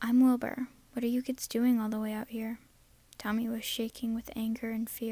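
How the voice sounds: Reading in a natural voice.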